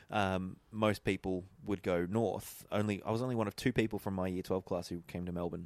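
This man speaks with an Australian accent at a very deep, low pitch and a fairly quick pace, his intonation fairly even, in a very clean recording with a silent background and a dry, close sound with no echo. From Australia, Eden, far south coast of New South Wales. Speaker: podcast guest. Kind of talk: casual chat.

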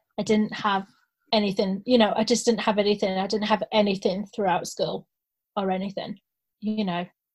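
Somewhat breathy, a woman speaks at a moderate pace and medium pitch with monotone, flat intonation. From Scotland, then Carlisle. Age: 30s. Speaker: actor and supply teacher. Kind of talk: casual chat.

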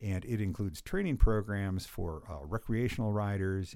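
In a very clean recording with a silent background, a man speaks with a very deep, low pitch and a dark, mellow tone. His pace is moderate, with ordinary pitch variation. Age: 60s. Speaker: cycling coach. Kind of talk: casual chat. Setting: studio.

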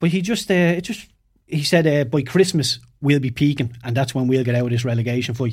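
An Irish accent, somewhat breathy. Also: man, ordinary pitch variation, fairly quick pace. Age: 30s. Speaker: former professional footballer. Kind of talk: casual chat. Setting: studio.

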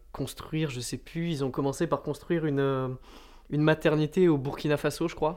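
Speaking at a moderate pace, a man keeps his intonation fairly even. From France, Landes (southwest). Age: 20s. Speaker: student political activist. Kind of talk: interview. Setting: at home over a beer. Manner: hesitant with fillers.

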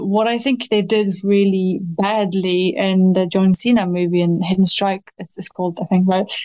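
A woman with a dark, mellow tone speaks at a medium pitch and a moderate pace. She has fairly even intonation and hardly any pauses. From Romania. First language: Romanian. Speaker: novelist. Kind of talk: casual interview chat.

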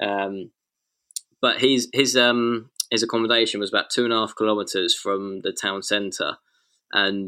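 With an English accent, a man speaks at a moderate pace in a fairly low pitch with fairly even intonation. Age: 20s. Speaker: racing driver. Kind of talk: interview. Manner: halting.

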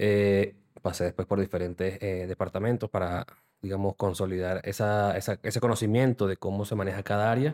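With a Venezuelan accent, the speaker has a dark, mellow tone, a fairly quick pace and fairly even intonation, in a dry, close sound with no echo and a very clean recording with a silent background. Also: man. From Venezuela, city. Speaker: digital transformation consultant. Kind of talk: interview. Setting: studio.

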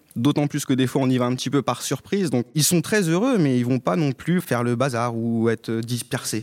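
Delivered at a fairly quick pace with ordinary pitch variation, the voice has a dry, close sound with no echo. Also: man. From rural France, Haute-Marne. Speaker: primary school teacher. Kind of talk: interview testimony. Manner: hesitant, repeats words.

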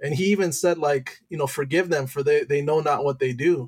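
At a moderate pace, a man talks with a fairly high, somewhat breathy voice and fairly even intonation. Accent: Midwestern American. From Michigan, Detroit area. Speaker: high school teacher and youth pastor. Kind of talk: testimony.

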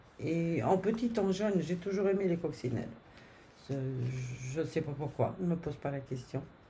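A woman's very deep, low, somewhat breathy voice with a dark, mellow tone, lively intonation and a fairly slow pace, with audible room echo. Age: 60s. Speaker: grandmother. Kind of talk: casual chat.

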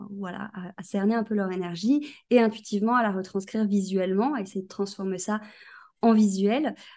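This is a normal speaking voice from a woman. Her medium pitch shows ordinary pitch variation. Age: 20s. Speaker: graphic designer. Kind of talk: casual chat.

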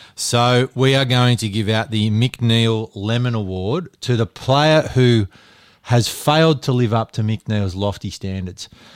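A man of medium pitch with an Australian accent, fairly slow pace and ordinary pitch variation, in a dry, close sound with no echo on a very clean recording with a silent background. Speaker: co-host of sports podcast. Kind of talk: casual sports banter.

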